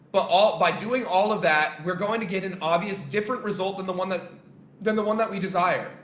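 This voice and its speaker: Animated in tone, a man talks at a fairly quick pace with a high pitch. Audible room echo and noticeable background noise fill the recording. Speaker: trading coach. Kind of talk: lecture. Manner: loud.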